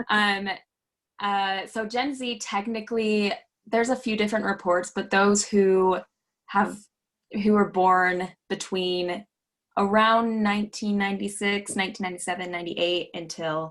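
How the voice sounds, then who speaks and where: Here is a woman with an ordinary speaking voice at medium pitch. Her intonation is fairly even and her pace moderate. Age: 20s. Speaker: voter registration trainer. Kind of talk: training presentation. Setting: video call.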